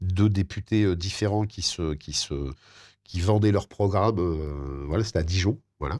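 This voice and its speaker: A man's very deep, low voice with ordinary pitch variation, in a very clean recording over a silent background. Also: dry, close sound with no echo. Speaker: radio host. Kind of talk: interview. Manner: halting.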